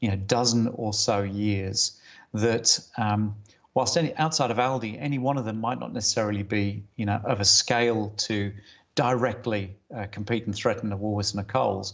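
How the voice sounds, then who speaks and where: A man's fairly low voice with an English accent, ordinary pitch variation and a moderate pace. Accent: English-sounding (sounds like a Brit). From Germany. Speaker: retail industry consultant. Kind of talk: conference presentation. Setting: video call from home study. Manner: hesitant, many fillers.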